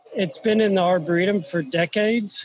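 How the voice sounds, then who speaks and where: A man's high voice in a dry sound with no echo. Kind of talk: tour guide commentary. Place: garden. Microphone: phone near.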